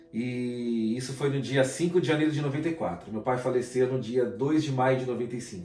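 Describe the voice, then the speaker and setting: With audible room echo and noticeable background noise, a man talks at a moderate pace with ordinary pitch variation. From Brazil, São Paulo / Guarulhos. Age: 30s. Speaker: guest. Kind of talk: testimony.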